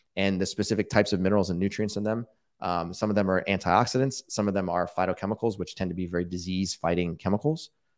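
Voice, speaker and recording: Over a quiet background, a man talks at a very fast pace in a very deep, low voice with ordinary pitch variation. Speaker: diabetes researcher and educator; educator. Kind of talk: casual interview, live Q&A. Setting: online livestream. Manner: explanatory, conversational. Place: home room.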